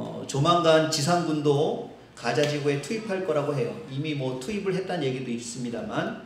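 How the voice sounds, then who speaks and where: Recorded with audible room echo and noticeable background noise, a man speaks at a moderate pace and a fairly high pitch. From Seoul, South Korea. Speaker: pastor. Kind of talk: sermon.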